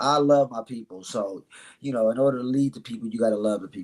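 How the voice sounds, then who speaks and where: A man with a medium pitch and an animated tone. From Chicago, south side. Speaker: mentor and author. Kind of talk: podcast interview. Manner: fast.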